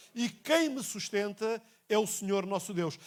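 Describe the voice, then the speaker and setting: A man's high voice, moderately paced, with lively intonation and a European Portuguese accent. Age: 60s. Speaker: pastor. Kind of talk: sermon. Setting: church. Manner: repetitive, emphatic.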